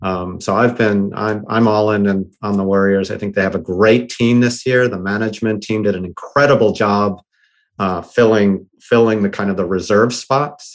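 A man with an American accent speaks at a moderate pace with fairly even intonation in a plain, everyday voice. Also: fairly low pitch for a man. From US Northeast, Boston. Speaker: tech entrepreneur. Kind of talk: podcast interview.

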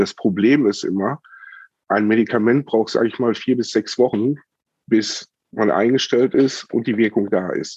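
An unremarkable speaking voice from a man at medium pitch, moderate pace, and fairly even intonation, with a dry, close sound with no echo. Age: 40s. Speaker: chronic pain patient and cannabis medicine advisor. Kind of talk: interview testimony.

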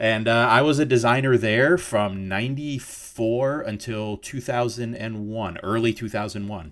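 Speaking at a moderate pace with an American accent, a man uses an ordinary speaking voice at medium pitch with ordinary pitch variation. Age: 40s. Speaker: designer and illustrator. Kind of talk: interview.

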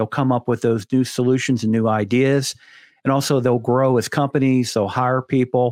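A man with an American accent and a plain, everyday voice, medium pitch, fairly even intonation and a moderate pace. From Pittsburgh, Pennsylvania. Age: 50s. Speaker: coatings podcast host. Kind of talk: casual chat.

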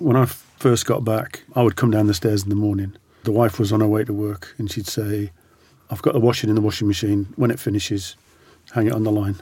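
With a dark, mellow tone and a fairly low pitch, a man talks somewhat breathily at a fairly quick pace, his intonation fairly even. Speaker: veteran and former hostage. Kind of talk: interview recounting experiences.

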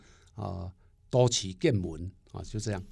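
In a Taiwanese accent, a man speaks on a very clean recording with a silent background. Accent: Taiwanese Mandarin. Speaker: poet and professor. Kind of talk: interview conversation.

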